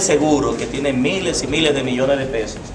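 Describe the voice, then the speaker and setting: A man speaks at a fairly quick pace. Audible room echo and noticeable background noise are present. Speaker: teacher speaking at a public forum on traffic law. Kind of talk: public talk. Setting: public event without microphone. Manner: loud.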